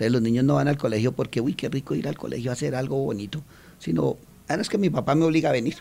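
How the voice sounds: A man talks at a fairly quick pace with a medium pitch and a slightly mellow tone. Vocal fry runs through his speech.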